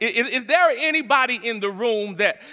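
With lively intonation and a bright, sharp tone, a man talks at a moderate pace in an extremely high pitch.

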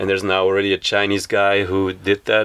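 With a Flemish accent, a man speaks at a fairly quick pace in a very deep, low pitch over noticeable background noise. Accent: Belgian (Flemish) English. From Belgium. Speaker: bus hostel operator. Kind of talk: interview. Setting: on a converted bus.

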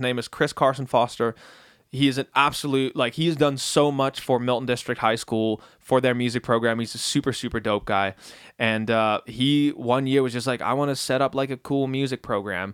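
A man with an unremarkable speaking voice talks at medium pitch and a moderate pace with fairly even intonation, in a dry, close sound with no echo. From Netherlands, moved to Canada at 14. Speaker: musician and audio engineer. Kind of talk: casual chat.

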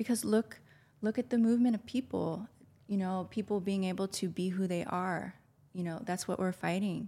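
A woman's somewhat breathy voice, medium in pitch, dark and mellow in tone, with ordinary pitch variation at a moderate pace. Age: 40s. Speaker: spiritual healer. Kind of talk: casual chat.

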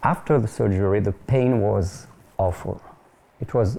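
Speaking with a French accent, a man has a dark, mellow tone. His pace is fairly slow. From France, near Paris. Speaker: pastor and French-language TV ministry presenter. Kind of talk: interview conversation. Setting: studio.

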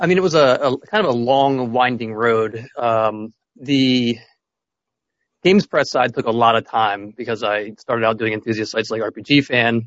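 A man talks at a moderate pace in a normal speaking voice. His pitch is medium, with ordinary variation. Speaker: game localization professional. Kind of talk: interview.

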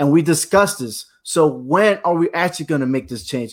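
A man speaks in an unremarkable speaking voice, pitched fairly high. His pace is moderate and his pitch variation ordinary. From New Britain, Connecticut. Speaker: military veteran, podcast panelist. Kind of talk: panel discussion.

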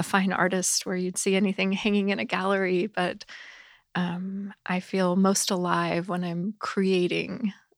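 Fairly slow and fairly even in intonation, a woman speaks at medium pitch in an ordinary speaking voice, in a very clean recording with a silent background. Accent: American. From US South. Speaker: ministry staff member. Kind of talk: casual chat. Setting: studio.

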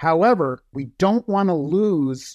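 The man talks at a very slow pace. The sound is dry and close with no echo, over a quiet background. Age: 60s. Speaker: professor. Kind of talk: interview.

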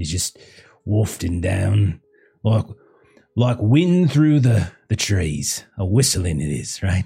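In a put-on character voice, a man speaks at a slow pace with low pitch, big pitch swings, vocal fry and a dark, mellow tone.

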